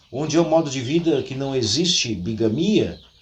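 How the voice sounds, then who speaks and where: A man with a southern Brazilian accent at a moderate pace, very wide pitch swings and noticeable background noise. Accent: gaucho Brazilian Portuguese. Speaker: history YouTuber. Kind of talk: storytelling history talk. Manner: conversational, folksy.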